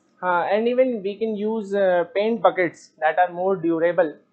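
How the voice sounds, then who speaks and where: A man with an Indian accent speaks at a fairly slow pace in a high pitch, with ordinary pitch variation. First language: Hindi. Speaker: student. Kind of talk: class presentation. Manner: halting.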